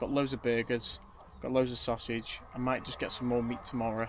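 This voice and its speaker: The man here speaks at a moderate pace. Background noise is noticeable. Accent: Potteries. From Staffordshire, Stoke-on-Trent. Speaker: vlogger. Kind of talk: casual vlog talk to camera. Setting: outdoors at a campsite. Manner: quiet; relaxed.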